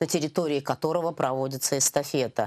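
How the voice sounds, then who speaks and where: A woman's pitch shifts in the usual way as she talks, the setting around her quiet. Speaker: sports event organizer; guest. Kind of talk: TV interview. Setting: TV studio. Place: studio. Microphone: lapel.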